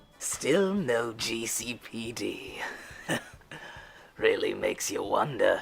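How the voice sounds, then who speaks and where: A put-on character voice at a very slow pace, broken by long, frequent pauses. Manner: mocking, theatrical.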